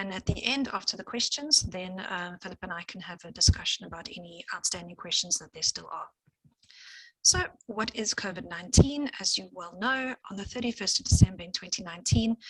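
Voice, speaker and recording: A medium-pitched, somewhat breathy female voice with a strong English accent, lively intonation, big swings in loudness and a fairly quick pace. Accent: heavy English accent in Afrikaans. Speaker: scientist. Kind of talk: lecture. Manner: fast.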